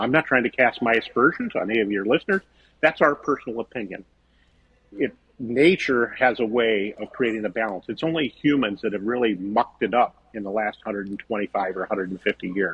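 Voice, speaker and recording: Ordinary pitch variation marks this speech, which moves at a fairly quick pace. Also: man, medium pitch for a man. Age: 60s. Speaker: vegetable farmer. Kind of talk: podcast interview. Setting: podcast. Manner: animated.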